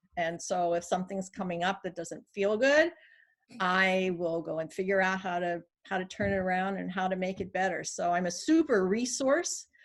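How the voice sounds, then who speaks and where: A woman speaks at a moderate pace in a plain, everyday voice, with medium pitch and ordinary pitch variation. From California. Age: 60s. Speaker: life coach. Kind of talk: interview.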